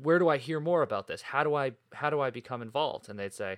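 A man with an American accent and an ordinary speaking voice, fairly high in pitch, with lively intonation at a fairly quick pace, on a very clean recording with a silent background. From New England, North Shore of Boston. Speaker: podcast host, nonprofit director. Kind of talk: solo podcast monologue. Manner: casual, conversational.

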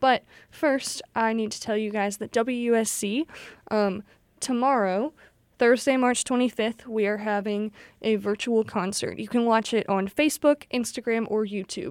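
A woman speaks in a normal speaking voice at a fairly high pitch and a fairly slow pace, with a dry, close sound free of echo on a very clean recording against a silent background. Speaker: college radio DJ. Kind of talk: radio DJ patter introducing songs and station IDs. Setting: radio studio broadcast. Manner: friendly, casual, upbeat with frequent filler 'um'.

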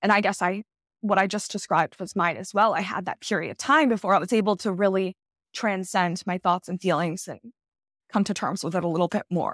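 With a plain, everyday voice at medium pitch, a woman talks at a fairly quick pace in a dry, close sound with no echo, recorded very cleanly against a silent background. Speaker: neurofeedback therapist. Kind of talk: casual chat.

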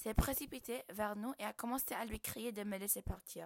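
In a normal speaking voice, a woman with a fairly high pitch talks at a fairly slow pace with fairly even intonation, the sound dry and close with no echo. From Morocco. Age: 20s. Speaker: podcast guest. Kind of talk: personal storytelling.

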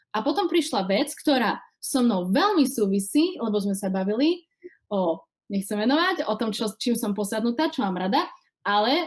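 A woman speaks with an eastern Slovak accent. Her pitch swings very widely. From Slovakia, Košice. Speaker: singer and actress. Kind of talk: casual interview.

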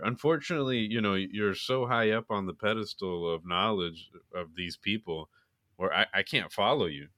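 With an American accent, a man speaks in a fairly low, bright and sharp voice with ordinary pitch variation, recorded very cleanly against a silent background with a dry, close sound and no echo. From Florida. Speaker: podcast co-host. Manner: dry, playful, sarcastic.

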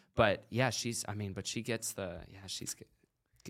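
A normal speaking voice carries this man's fairly low pitch along at a moderate pace. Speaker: podcast host. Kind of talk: casual interview chat. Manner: casual, profane.

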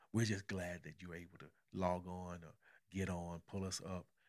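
A man with an American accent speaks at a moderate pace in a very deep, low register. His intonation stays monotone and flat over a very clean recording with a silent background. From Arkansas, US South. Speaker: pastor and podcast host. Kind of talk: casual podcast conversation with spouse.

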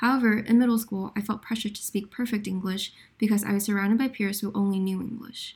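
A woman speaks very fast in a flat monotone, her fairly high voice somewhat breathy. The recording is very clean, with a silent background. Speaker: podcast host. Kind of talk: scripted student podcast.

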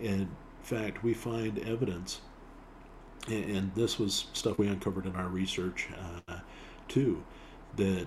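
At a fairly slow pace with long, frequent pauses, a man with a fairly low pitch and an American accent sounds somewhat breathy, his intonation fairly even. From Utah. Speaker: bagpiper and filmmaker. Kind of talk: casual chat. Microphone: built-in laptop mic.

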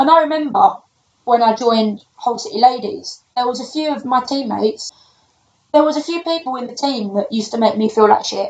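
A woman with a London accent, high-pitched and fairly quick, her intonation lively and her loudness swinging widely. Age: 20s. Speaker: personal trainer. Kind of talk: casual chat.

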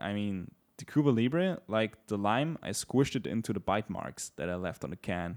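Talking at a moderate pace with hardly any pauses, a man has a plain, everyday voice. It is fairly low with lively intonation, in a dry, close sound with no echo. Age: 20s. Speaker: podcast co-host. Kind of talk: casual chat.

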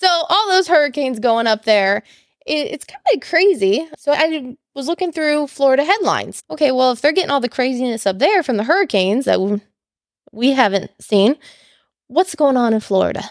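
A fairly quick pace with very wide pitch swings. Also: woman, high pitch for a woman. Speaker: podcast co-host. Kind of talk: casual chat. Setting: home recording. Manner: animated.

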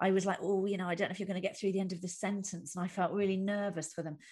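A woman's voice comes through somewhat breathy. The background stays quiet. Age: 40s. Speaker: comedian. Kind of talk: casual chat. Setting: video call.

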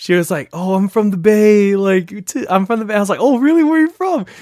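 Fairly quick delivery from a man with an American accent. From US West Coast, San Francisco Bay Area. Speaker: podcast co-host, nursing student. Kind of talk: casual chat.

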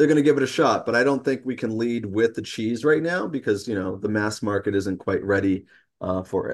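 A man with an American accent uses a plain, everyday voice at a medium pitch with ordinary pitch variation. He talks at a fairly quick pace against a quiet background. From New York City. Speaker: food company founder. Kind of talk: interview.

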